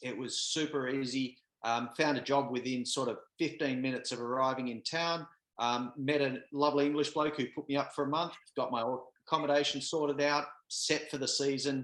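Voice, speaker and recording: At a fairly quick pace, a man speaks with a fairly high pitch and monotone, flat intonation. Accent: Australian. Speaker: podcast co-host. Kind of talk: casual chat. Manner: halting, many fillers.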